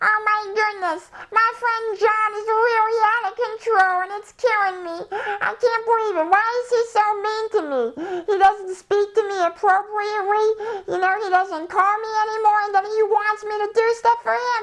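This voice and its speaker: A whiny put-on character voice at extremely high pitch. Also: moderate pace. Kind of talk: casual, comedic. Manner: whiny, exaggerated, funny voice.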